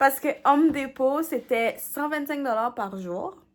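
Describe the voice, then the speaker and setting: A woman's raised, projected voice, high-pitched with a bright, sharp tone, moves at a very slow pace with lively intonation. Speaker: home renovation vlogger. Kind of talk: casual vlog talk. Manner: casual, with filler words and English code-switching.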